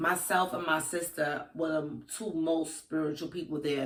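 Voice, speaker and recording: A woman speaks with a Brooklyn accent at a fairly low pitch. Her pace is fairly slow. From Brooklyn, New York. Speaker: spiritual practitioner. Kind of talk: casual chat; storytelling.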